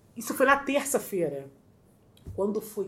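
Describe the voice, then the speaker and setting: A woman speaks at a fairly slow pace, with room echo clearly audible. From Rio de Janeiro, Zona Norte suburbs. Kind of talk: casual interview, storytelling.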